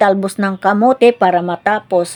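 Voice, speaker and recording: An unremarkable speaking voice at a fairly slow pace with ordinary pitch variation, in a dry, close sound with no echo. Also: woman. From Philippines, provinces. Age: 60s. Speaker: cooking vlogger. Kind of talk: casual cooking vlog chat.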